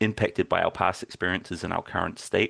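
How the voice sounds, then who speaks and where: A man speaks with a New Zealand accent over a quiet background. The sound is dry and close, with no echo. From New Zealand (Timaru). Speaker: games user researcher, workshop presenter. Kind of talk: workshop lecture.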